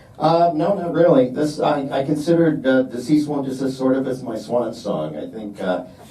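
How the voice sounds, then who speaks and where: Over noticeable background noise and with audible room echo, a man talks at a moderate pace. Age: 60s. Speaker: independent filmmaker. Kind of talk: Q&A after a film screening. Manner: casual, conversational.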